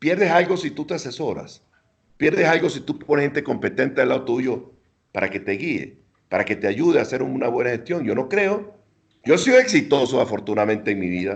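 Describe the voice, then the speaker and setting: With very wide pitch swings and vocal fry, a man speaks at a fairly quick pace in a fairly high voice. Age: 70s. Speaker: former minister and ambassador. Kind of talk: interview.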